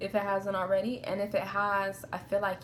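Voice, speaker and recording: With noticeable background noise around her, this woman talks at a medium pitch. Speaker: tarot reader. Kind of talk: tarot reading. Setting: outdoors in a park. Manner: subdued, melancholy tone; casual, profane.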